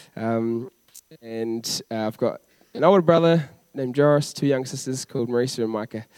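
A man with a New Zealand accent speaks at a medium pitch with ordinary pitch variation, recorded dry and close with no echo. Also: moderate pace. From New Zealand, Christchurch. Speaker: youth worker. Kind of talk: church interview. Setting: church stage with congregation.

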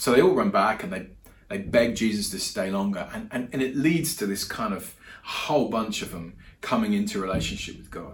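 With audible room echo, a man speaks at a moderate pace in a fairly low pitch with ordinary pitch variation.

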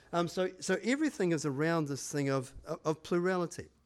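A man with a New Zealand accent, a fairly high pitch and lively intonation, in a very clean recording with a silent background. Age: 60s. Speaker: church pastor. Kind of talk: sermon. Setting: church with congregation. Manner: hesitant, filler-heavy.

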